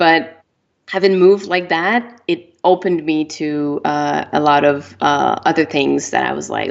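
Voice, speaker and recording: A woman is speaking. She has a French Canadian accent. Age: 30s. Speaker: author. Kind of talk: interview. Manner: hesitant, many fillers.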